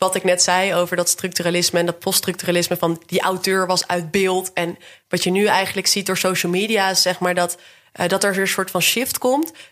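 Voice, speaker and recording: At a fairly quick pace, a woman talks in a monotone, flat way at a medium pitch, keeping her loudness very even. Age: 20s. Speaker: PhD researcher. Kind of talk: casual interview.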